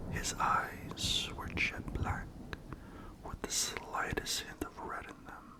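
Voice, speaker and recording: A man whispers at a very slow pace, with noticeable background noise behind him. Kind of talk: ASMR horror story narration.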